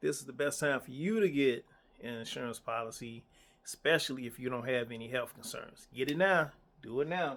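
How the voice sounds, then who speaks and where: A man with a plain, everyday voice speaks at a fairly quick pace and a medium pitch. His pitch varies in an ordinary way, while his loudness swings widely. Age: 50s. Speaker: insurance agent. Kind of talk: casual talk to camera. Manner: conversational, repetitive.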